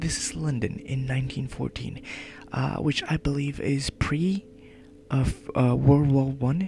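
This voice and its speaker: The voice is quiet and fairly slow, with noticeable background noise behind it. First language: not English. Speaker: let's play gamer. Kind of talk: let's play commentary with reading aloud.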